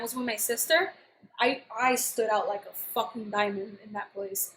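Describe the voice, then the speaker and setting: With an American accent, a woman speaks at a moderate pace in a raised, projected voice. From New York. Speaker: YouTuber. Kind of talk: casual chat. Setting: live stream. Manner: animated.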